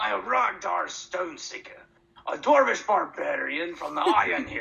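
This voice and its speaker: A man puts on a character voice and keeps to a moderate pace. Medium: actual play. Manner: gruff, blunt.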